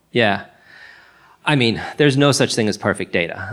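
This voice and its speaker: The voice has vocal fry and ordinary pitch variation. The recording is very clean, with a silent background. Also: man. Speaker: food tech company CEO. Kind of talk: live panel interview. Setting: stage with audience.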